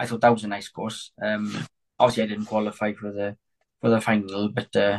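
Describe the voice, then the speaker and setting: Speaking in a Welsh accent, a man with a fairly low pitch talks at a fairly quick pace in a monotone, flat intonation, the sound dry and close with no echo. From Wales, north Pembrokeshire. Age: 20s. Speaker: sheepdog trial handler and sheep farmer's son. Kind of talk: casual interview chat. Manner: halting, with repetitions and fillers.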